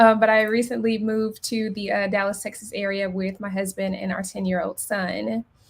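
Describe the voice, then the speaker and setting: A woman talks at a moderate pace in a medium pitch, her somewhat breathy voice flat and monotone in intonation. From Memphis, Tennessee. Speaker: accountant. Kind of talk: webinar presentation. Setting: live stream.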